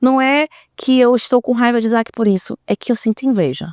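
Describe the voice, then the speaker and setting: On a very clean recording with a silent background and a dry, close sound free of echo, a woman with a high voice speaks in an animated tone with ordinary pitch variation. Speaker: speaker and podcast host. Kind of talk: casual monologue to audience. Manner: fast.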